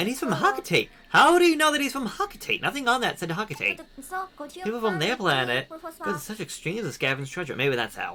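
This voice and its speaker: Over noticeable background noise, a man with a high pitch talks at a fairly quick pace in a raised, projected voice, his pitch swinging very widely. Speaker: video game streamer. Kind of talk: gameplay commentary. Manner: fast; casual.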